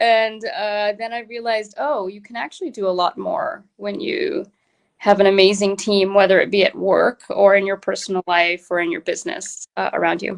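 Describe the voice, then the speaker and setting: Lively intonation marks a woman speaking at a moderate pace in a dry, close sound with no echo. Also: medium pitch for a woman. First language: Tamil. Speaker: entrepreneur. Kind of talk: interview. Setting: live online interview.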